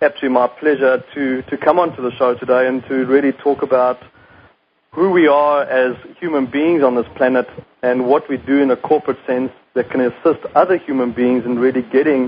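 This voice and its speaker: This man has a South African accent and a medium pitch. He talks at a fairly quick pace with fairly even intonation. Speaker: company CEO. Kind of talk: radio interview.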